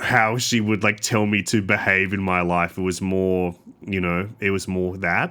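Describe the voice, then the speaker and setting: A man's very deep, low voice with a bright, sharp tone, monotone and flat in intonation, at a moderate pace. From Sydney, Australia. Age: 20s. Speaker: comedian and podcaster. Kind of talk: casual chat.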